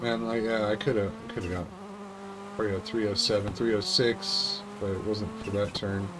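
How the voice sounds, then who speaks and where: Noticeable background noise under a man's fairly low voice, delivered at a fairly slow pace. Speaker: gaming YouTuber. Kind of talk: casual gameplay commentary. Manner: animated, excitable. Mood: relaxed, self-critical.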